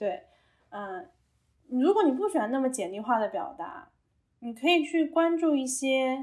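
The speaker goes at a fairly slow pace with long, frequent pauses. Pitch swings very wide, and loudness shifts a lot. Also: woman, high pitch for a woman. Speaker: emotion-focused internet product worker. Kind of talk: casual chat. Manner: animated.

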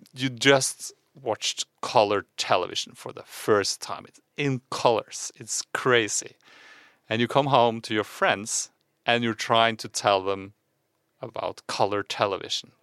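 In a very clean recording with a silent background and a dry, close sound with no echo, a man with a Norwegian accent talks at a fairly slow pace, with ordinary pitch variation and big swings in loudness. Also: medium pitch for a man. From Norway. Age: 40s. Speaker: podcast co-host. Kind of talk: casual chat.

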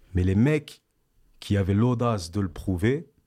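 The voice has a dark, mellow tone, captured in a very clean recording with a silent background. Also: man. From France, Val-d'Oise (Paris suburbs), Antillean family. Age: 30s. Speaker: rapper. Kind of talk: interview. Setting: studio.

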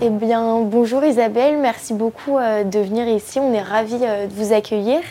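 Against noticeable background noise, a woman speaks at a fairly slow pace with fairly high pitch, fairly even intonation and very even loudness. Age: young. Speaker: communications student. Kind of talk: interview; hosting a talk.

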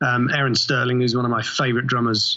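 The voice belongs to a man with a medium pitch. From England. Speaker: TV composer. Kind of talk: interview. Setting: remote call.

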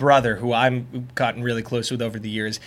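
A man with an American accent has an unremarkable speaking voice. His pitch is medium and his intonation fairly even. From Long Island, New York (South Shore). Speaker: TV meteorologist. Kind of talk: casual chat.

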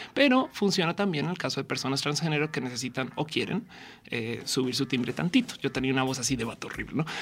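A woman's very deep, low voice at a very fast pace. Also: ordinary pitch variation. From Colombia, Bogotá. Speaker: comedian and science communicator. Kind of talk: casual chat. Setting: radio studio, live.

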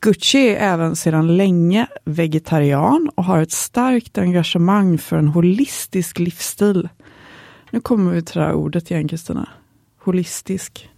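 A woman in a Swedish accent, fairly low-pitched with a dark, mellow tone, ordinary pitch variation and a moderate pace, in a dry, close sound with no echo. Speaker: podcast co-host. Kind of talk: scripted intro.

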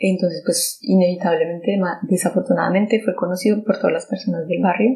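A woman speaks fairly quickly at a medium pitch, her somewhat breathy voice dark and mellow in tone, with ordinary pitch variation. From Colombia. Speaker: survivor sharing personal testimony. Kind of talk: testimony. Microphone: poor sound quality.

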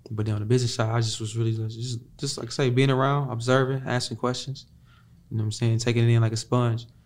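This man speaks at a very fast pace in a medium pitch. His delivery is somewhat breathy, with monotone, flat intonation. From Chicago. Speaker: R&B singer. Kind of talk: casual interview.

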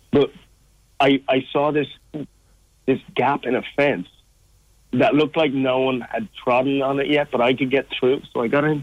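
A man speaks with an Irish accent at a fairly slow pace. His pitch is medium and his intonation fairly even. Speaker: charity walker. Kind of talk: interview. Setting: phone call.

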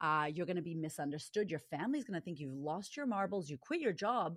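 Someone with an American accent talks in an animated tone at a fairly quick pace, with very wide pitch swings, on a very clean recording with a silent background. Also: woman. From US, Boston. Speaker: confidence coach. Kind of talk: interview conversation.

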